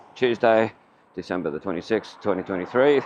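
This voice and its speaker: A man with an Australian accent talks at a moderate pace and a fairly low pitch, with ordinary pitch variation. Noticeable background noise runs behind him. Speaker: walking-tour vlogger. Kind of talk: vlog narration while walking.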